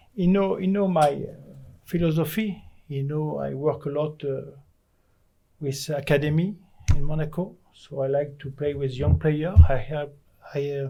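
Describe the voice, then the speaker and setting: A man with a French accent speaks at a moderate pace, his fairly high voice dark, mellow and somewhat breathy with ordinary pitch variation. Long, frequent pauses break his speech, and audible room echo surrounds it. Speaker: football manager. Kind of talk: press conference. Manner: halting.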